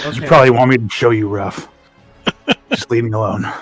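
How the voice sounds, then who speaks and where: Over faint music in the background, a gruff, put-on character voice talks at a fairly quick pace. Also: man, medium pitch for a man. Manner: tough, threatening.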